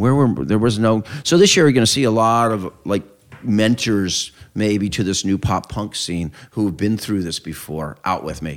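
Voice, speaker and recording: A man's unremarkable speaking voice, fairly low in pitch, at a moderate pace with lively intonation. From Southern California (Claremont). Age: 50s. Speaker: music tour founder and promoter. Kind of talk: casual interview. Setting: at his home.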